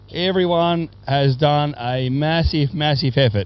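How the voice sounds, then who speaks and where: A man's fairly high voice with an Australian accent, very slow pace and ordinary pitch variation, over noticeable background noise. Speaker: race sponsor and commentator. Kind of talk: speech at prize giving. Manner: loud; repetitive, stumbling.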